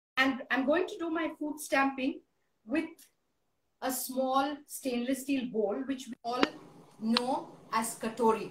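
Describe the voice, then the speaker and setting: Over light background noise and audible room echo, a woman with a high-pitched voice speaks very slowly, with long, frequent pauses. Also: ordinary pitch variation. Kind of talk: tutorial. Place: home room. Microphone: phone near.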